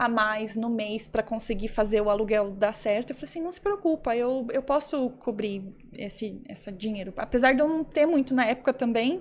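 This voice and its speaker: Using an unremarkable speaking voice, a woman talks at a moderate pace with a fairly high pitch and ordinary pitch variation. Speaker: violinist and entrepreneur. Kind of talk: interview conversation.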